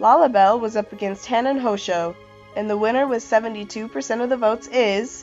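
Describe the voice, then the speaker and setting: With music in the background, a woman with a fairly high pitch speaks at a moderate pace using lively intonation. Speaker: anime contest host. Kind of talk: casual contest results announcement.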